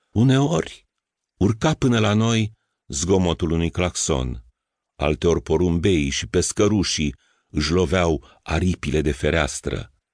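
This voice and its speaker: A man with a very deep, low pitch and vocal fry speaks at a very slow pace with lively intonation. The sound is dry and close with no echo, over a quiet background. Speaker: audiobook narrator. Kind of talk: audiobook narration, reading a first-person literary story aloud. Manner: measured, intimate, reflective storytelling; wistful, tender, unhurried.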